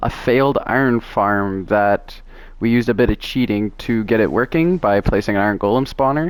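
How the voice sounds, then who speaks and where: A male speaker's voice sits at a medium pitch, with pitch that moves in an ordinary way. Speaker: gaming youtuber. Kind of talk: casual narrated game tour. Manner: halting, many fillers; casual.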